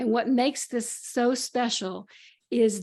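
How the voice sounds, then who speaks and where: Over a quiet background, a woman talks with vocal fry. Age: 70s. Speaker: psychotherapist and author. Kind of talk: interview. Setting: video call.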